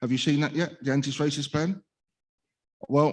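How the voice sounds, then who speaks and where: In a Cockney accent, a man speaks at a fairly high pitch with fairly even intonation. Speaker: speaker with lived experience of probation. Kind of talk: conference talk. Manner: halting.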